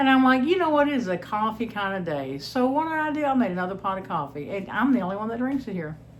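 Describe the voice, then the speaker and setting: Talking at a very fast pace, a woman swings very widely in pitch amid audible room echo. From Texas. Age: 60s. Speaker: homestead channel host. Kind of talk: cooking vlog, casual chat. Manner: chatty, informal.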